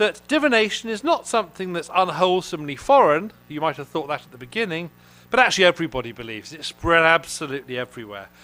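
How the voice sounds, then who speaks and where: Over background music, a man talks very fast at a high pitch, with very wide pitch swings and big swings in loudness. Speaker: classics professor. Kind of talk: academic conference lecture. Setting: auditorium with audience. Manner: halting, with fillers.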